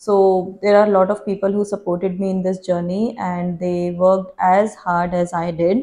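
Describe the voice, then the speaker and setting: A woman with an Indian accent, medium pitch, a dark, mellow tone, monotone, flat intonation and a moderate pace. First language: Hindi. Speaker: YouTuber. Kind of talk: Q&A vlog.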